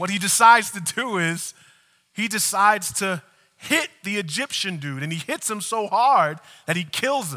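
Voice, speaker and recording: Raised and projected, a man's high, bright, sharp voice moves at a moderate pace with lively intonation. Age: 40s. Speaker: pastor. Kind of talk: sermon.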